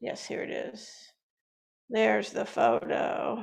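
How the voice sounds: A man's gravelly put-on character voice at a fairly slow pace.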